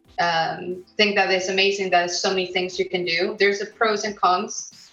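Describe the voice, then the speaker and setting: Speaking in a Mexican accent, a woman keeps a medium pitch and moderate pace with monotone, flat intonation. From Mexico. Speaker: illustrator. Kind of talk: interview.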